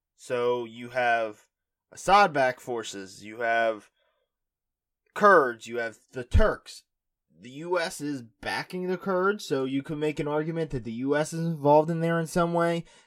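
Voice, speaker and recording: On a very clean recording with a silent background, a man with an ordinary speaking voice talks at a fairly slow pace and fairly high pitch, with lively intonation and big swings in loudness. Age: 20s. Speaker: political podcast host. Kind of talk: solo news commentary podcast.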